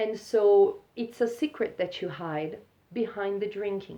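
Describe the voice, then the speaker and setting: This woman speaks at a medium pitch. Her tone is dark and mellow. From Brazil. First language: Portuguese. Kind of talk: monologue vlog. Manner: casual, occasionally halting.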